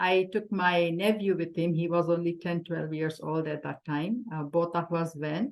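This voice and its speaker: A woman with a Marathi accent and a fairly low pitch. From India, Andhra Pradesh. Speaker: spiritual devotee guest. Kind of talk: interview testimony.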